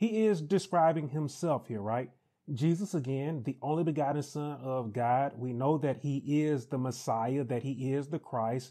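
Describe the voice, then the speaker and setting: The voice has a dark, mellow tone and ordinary pitch variation at a moderate pace. The background is quiet. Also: man. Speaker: pastor. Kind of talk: Bible study teaching. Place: home room. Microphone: lapel.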